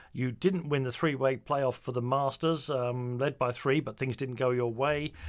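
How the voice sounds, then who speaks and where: A man speaks with a British accent at medium pitch. The pace is moderate. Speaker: radio host. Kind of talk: interview.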